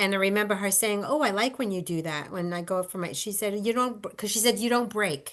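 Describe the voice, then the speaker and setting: At a fairly quick pace, a woman speaks at medium pitch with a bright, sharp tone and ordinary pitch variation over a quiet background. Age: 60s. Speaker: former theater performer. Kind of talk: casual chat. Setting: video call.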